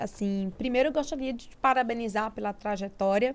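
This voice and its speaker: A normal speaking voice from a woman, fairly high in pitch with ordinary variation, at a moderate pace in a very clean recording with a silent background. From Brazilian Northeast, interior of Sergipe. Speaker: podcast host. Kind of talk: interview.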